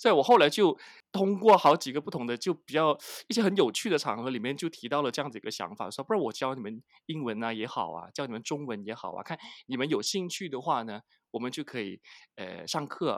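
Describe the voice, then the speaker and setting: Talking at a very fast pace, a man with a fairly high pitch swings very widely in pitch and loudness, recorded dry and close with no echo against a silent background on a very clean recording. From Malaysia, Penang. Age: 40s. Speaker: advertising manager. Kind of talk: interview. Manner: halting, many fillers.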